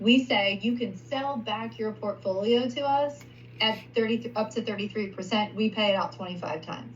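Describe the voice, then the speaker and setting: This woman's medium-pitched voice carries lively intonation. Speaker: payments sales recruiter. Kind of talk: sales pitch over screen share. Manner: fast.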